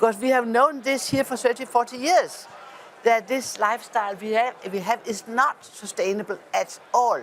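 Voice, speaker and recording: Over noticeable background noise, a woman with a high pitch and ordinary pitch variation speaks at a moderate pace. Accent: Danish. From Denmark. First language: Danish. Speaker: politician. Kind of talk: panel discussion. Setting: parliament event. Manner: halting.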